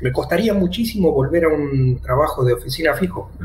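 A man with an Argentine accent is heard through noticeable background noise and audible room echo. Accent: Rioplatense Argentine Spanish. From Argentina, La Plata. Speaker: digital nomad and teacher. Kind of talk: casual interview. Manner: halting, many repeated words.

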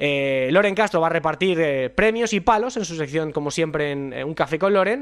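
This man has an ordinary speaking voice, pitched fairly high, and he talks at a moderate pace. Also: lively intonation, hardly any pauses. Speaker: football radio show host. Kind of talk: sports talk show.

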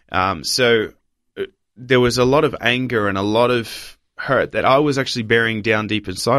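A man with an Australian accent speaks at medium pitch and a moderate pace, with ordinary pitch variation. The recording is very clean, with a silent background. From Papua New Guinea and Australia. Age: 20s. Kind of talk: interview testimony.

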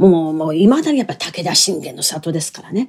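At a moderate pace, a woman speaks in a dark, mellow tone, her pitch swinging very widely. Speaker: storyteller (kodan performer) and narrator. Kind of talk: casual solo talk. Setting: home bedroom. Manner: lively.

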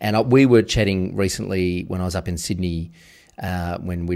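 Captured in a very clean recording with a silent background, a man with an Australian accent speaks fairly quickly with fairly even intonation. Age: 40s. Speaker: podcast host. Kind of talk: interview conversation.

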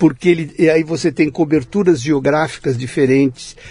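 A man with a fairly high pitch and an ordinary speaking voice talks at a moderate pace with ordinary pitch variation. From Brazil, São Paulo city. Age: 60s. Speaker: branding consultant. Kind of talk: interview conversation.

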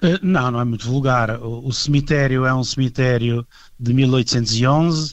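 This is an ordinary speaking voice from a man at medium pitch. His pitch varies in an ordinary way. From Portugal. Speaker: heritage association vice-president. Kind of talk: radio interview.

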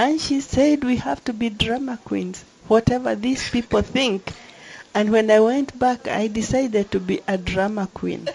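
Somewhat breathy, a woman speaks at a fairly high pitch. Her pitch varies in an ordinary way. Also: moderate pace. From Kenya. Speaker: member of parliament. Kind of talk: panel discussion. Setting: conference venue, live broadcast.

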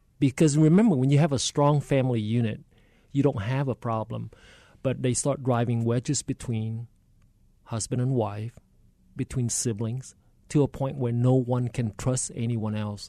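A man with a Vietnamese accent speaks at a moderate pace with fairly even intonation and a dark, mellow tone. The sound is dry and close with no echo, over a quiet background. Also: medium pitch for a man. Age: 60s. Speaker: state politician. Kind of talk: radio interview. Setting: studio.

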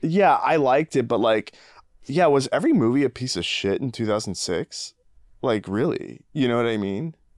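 A man talks in a normal speaking voice at a medium pitch and moderate pace, with lively intonation. The recording is very clean with a silent background, and the sound is dry and close with no echo. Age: 30s. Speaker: podcast co-host. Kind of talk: casual chat.

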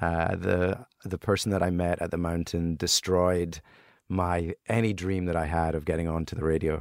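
Speaking with a Scottish accent, a man with a very deep, low pitch keeps his intonation fairly even on a very clean recording with a silent background. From Scotland. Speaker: entrepreneur. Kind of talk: casual chat.

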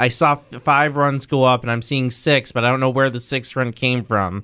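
Bright and sharp in tone, a man speaks with medium pitch. His pace is moderate and his intonation fairly even. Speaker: athletics news reporter. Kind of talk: news reading.

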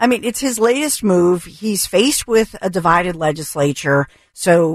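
With an American accent and an ordinary speaking voice, a woman talks at a moderate pace in a fairly low pitch with lively intonation. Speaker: radio co-host. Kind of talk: talk radio show. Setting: studio.

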